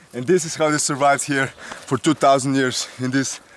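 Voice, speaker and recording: A man's fairly high, monotone voice with flat intonation, a fairly quick pace and noticeable background noise. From Slovenia. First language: Slovenian. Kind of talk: comedic parody of survival show narration. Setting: outdoors.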